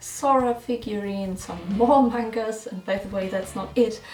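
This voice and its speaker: Spoken with a German accent at a moderate pace and ordinary pitch variation, the clip has noticeable background noise and audible room echo. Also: woman. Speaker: musician and YouTuber. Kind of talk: casual chat.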